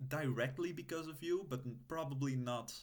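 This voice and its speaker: Speaking fairly slowly with a non-native accent, a man at medium pitch is heard with audible room echo. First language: not English. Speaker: roleplaying video creator. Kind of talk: in-character roleplay monologue to camera. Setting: recorded on an old laptop. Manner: halting, many filler sounds.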